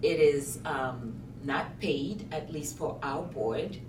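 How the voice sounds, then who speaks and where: Over noticeable background noise and audible room echo, a woman speaks at a very slow pace. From Côte d'Ivoire, West Africa. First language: French. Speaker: school board president. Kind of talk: interview. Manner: halting, with fillers and repetitions.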